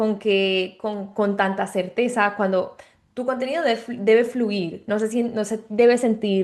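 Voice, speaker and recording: Fairly even intonation from a woman pitched fairly high. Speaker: online business coach. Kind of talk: tutorial. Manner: slight stutter, unscripted; many fillers and restarts.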